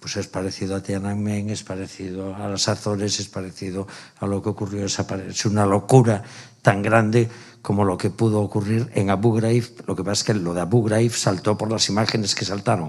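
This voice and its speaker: A man speaks at a fairly quick pace in a flat monotone, his pitch fairly low. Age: 60s. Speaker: stage actor. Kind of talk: post-show talkback. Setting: theatre with audience.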